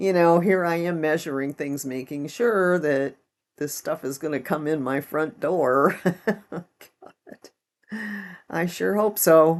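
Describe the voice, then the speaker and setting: A woman's very deep, low voice at a very slow pace. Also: ordinary pitch variation. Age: 70s. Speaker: home gardener and craft vlogger. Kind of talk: casual talk to camera.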